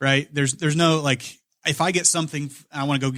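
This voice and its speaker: With a Midwestern American accent, a man of fairly high pitch speaks at a very fast pace in a very clean recording with a silent background. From Indiana, Kokomo. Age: 30s. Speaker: financial advisor. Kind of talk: casual podcast interview.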